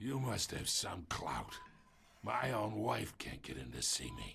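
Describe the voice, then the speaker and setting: A man's put-on character voice, raspy and fairly low-pitched, at a fairly slow pace over clear background noise. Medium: video game. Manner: smug, insinuating.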